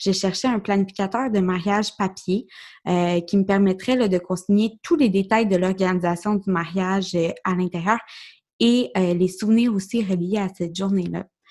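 In a Quebec accent, a woman talks at a moderate pace and medium pitch with fairly even intonation, on a very clean recording with a silent background. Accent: Québécois French. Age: 20s. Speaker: podcast host. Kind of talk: solo podcast monologue. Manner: hesitant, many fillers.

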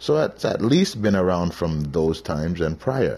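A man is speaking. His pitch swings very widely. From Canada. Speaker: podcast host. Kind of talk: casual monologue.

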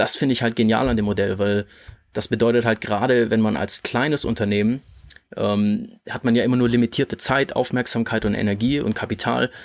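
On a very clean recording with a silent background, a man talks with a plain, everyday voice. His pitch is medium, his pace fairly quick, and his intonation fairly even. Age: 20s. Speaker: podcast host and online entrepreneur. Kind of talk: casual chat.

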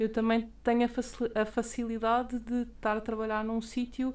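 A woman talks fairly slowly at a fairly high pitch, in a monotone, flat intonation. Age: 20s. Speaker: physician and master's student. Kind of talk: interview.

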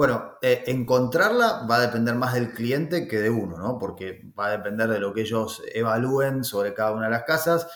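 With an Argentine accent, a man talks in a medium pitch with ordinary pitch variation at a moderate pace. He hardly pauses, and audible room echo surrounds the voice. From Argentina. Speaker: real estate agent. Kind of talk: interview. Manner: hesitant, with many fillers.

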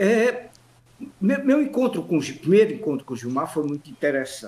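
A man talks with very wide pitch swings. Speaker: professor, actor and memorialist. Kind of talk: radio interview. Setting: remote online call.

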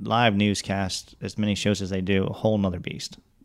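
Fairly quick and monotone, a man speaks with flat intonation at a fairly low pitch. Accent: American. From Metro Detroit, Michigan. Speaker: TV station creative director. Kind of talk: casual chat.

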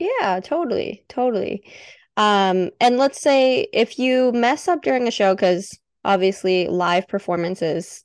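In an ordinary speaking voice, a woman talks at a moderate pace with lively intonation, the sound dry and close with no echo and the background quiet. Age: 20s. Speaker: podcast host. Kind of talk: casual chat.

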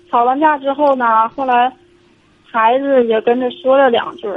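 A woman's high-pitched voice with ordinary pitch variation, amid noticeable background noise. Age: 40s. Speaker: caller, divorced mother. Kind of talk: phone-in advice call. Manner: halting, hesitant.

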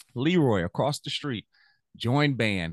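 Animated and lively in intonation, a man with a Louisiana accent speaks at a moderate pace. The sound is dry and close with no echo, over a quiet background. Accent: US Southern (Louisiana). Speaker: music teacher. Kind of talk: casual interview chat. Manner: animated, motivational.

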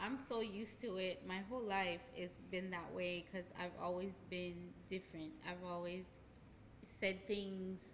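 In a room with audible echo, a woman speaks at a moderate pace with a medium pitch. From Haiti. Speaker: hypnotherapist. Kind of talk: casual interview.

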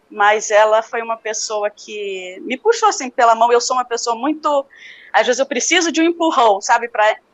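Her pitch high and its variation ordinary, a woman speaks at a moderate pace. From Brazil, Recife then Rio de Janeiro. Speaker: natural family planning instructor and homemaker. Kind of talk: interview.

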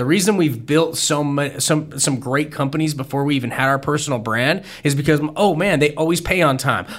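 Fairly quick speech with hardly any pauses and ordinary pitch variation, against noticeable background noise. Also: man, fairly high pitch for a man. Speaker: podcast co-host, speaker. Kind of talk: casual business podcast chat. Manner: fast talker.

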